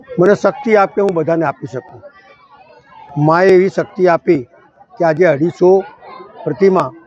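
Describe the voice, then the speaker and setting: Over crowd noise in the background, a man talks with a high pitch and ordinary pitch variation. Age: old. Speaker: local politician. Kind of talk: public speech.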